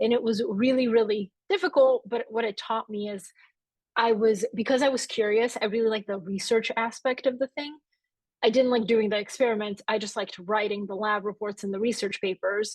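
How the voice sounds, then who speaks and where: A woman's fairly high voice at a fairly quick pace, fairly even in intonation, with a dry, close sound and no echo. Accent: Bulgarian. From Bulgaria, moved to Atlanta, Georgia at eight. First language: Bulgarian. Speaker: author and newsletter founder. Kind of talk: live interview on stage.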